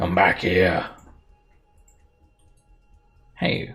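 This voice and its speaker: A put-on character voice, growling and raspy. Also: man, very deep, low pitch for a man. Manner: aggressive, chasing.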